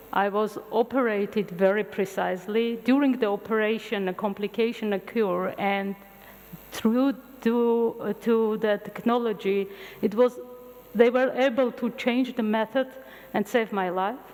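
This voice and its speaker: A woman with an Armenian accent talks at a moderate pace in a fairly high voice, her intonation fairly even. Noticeable background noise runs under her speech. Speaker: physician and futurist lecturer. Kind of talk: public lecture. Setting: university lecture hall with audience.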